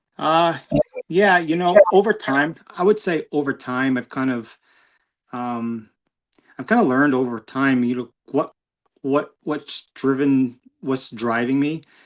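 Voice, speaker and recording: Recorded very cleanly against a silent background, a man with an American accent talks fairly slowly at a medium pitch with ordinary pitch variation. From New York. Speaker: motorcyclist and community volunteer. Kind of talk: interview. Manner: halting, many fillers.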